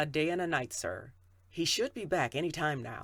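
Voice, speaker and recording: The speaker uses a put-on character voice at a moderate pace. The recording is very clean, with a silent background. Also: man. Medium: read story. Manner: respectful, deferential.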